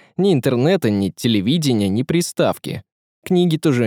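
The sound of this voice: Over a quiet background, the intonation of an unforced reading voice stays lively.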